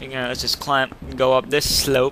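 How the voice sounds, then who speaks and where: Fairly high-pitched male speech at a fairly quick pace over music in the background. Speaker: gaming commentator. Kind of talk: let's play commentary. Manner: loud; animated.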